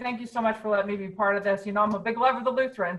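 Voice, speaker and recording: This woman's tone is energetic, her pitch medium. Her voice is somewhat breathy. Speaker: fundraising consultant. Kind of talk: webinar talk. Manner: fast.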